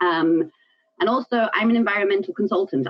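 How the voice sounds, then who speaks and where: A woman with a South African accent, medium in pitch, lively in intonation, at a fairly quick pace. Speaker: environmental consultant and business owner. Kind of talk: presentation. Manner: frequent fillers (um, uh).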